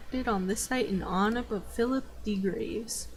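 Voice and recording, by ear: Someone is reading aloud in a natural voice. The words are read, not improvised.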